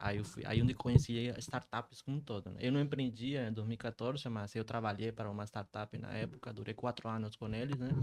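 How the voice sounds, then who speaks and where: Medium in pitch, a man speaks at a fairly quick pace with hardly any pauses and fairly even intonation. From Colombia. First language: Spanish (speaking Portuguese). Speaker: startup founder. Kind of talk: podcast interview.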